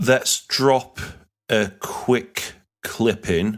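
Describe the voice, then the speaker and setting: In a Yorkshire accent, a man speaks with fairly even intonation on a very clean recording with a silent background. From Yorkshire, northern England. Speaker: podcast host. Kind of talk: podcast intro and casual chat.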